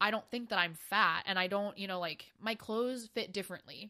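In an American accent, the voice has a bright, sharp tone, ordinary pitch variation and a moderate pace, recorded very cleanly against a silent background. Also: woman. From US, New York City then Maryland. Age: 20s. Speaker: podcast co-host. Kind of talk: casual chat.

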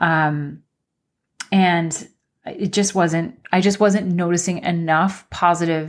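A woman talks at a very slow pace with a fairly low pitch. Her intonation stays fairly even. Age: 40s. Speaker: podcast host. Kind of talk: solo podcast monologue, personal sharing. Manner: conversational, with many filler words.

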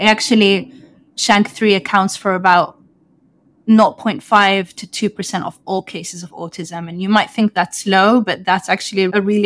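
In a London accent, a woman talks at a moderate pace with fairly even intonation and big swings in loudness. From London, England. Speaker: neuroscientist. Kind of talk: interview.

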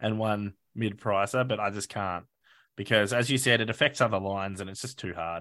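Over a quiet background, a man with an Australian accent talks at a fairly quick pace in a fairly low pitch with a bright, sharp tone. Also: ordinary pitch variation, big swings in loudness. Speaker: fantasy football podcast host. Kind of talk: casual chat. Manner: animated.

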